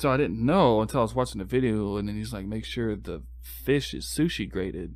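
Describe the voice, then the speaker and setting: In a room with audible echo, a man with a very deep, low voice and vocal fry talks at a fairly quick pace with hardly any pauses and very wide pitch swings. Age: 20s. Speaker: podcast guest. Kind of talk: casual chat.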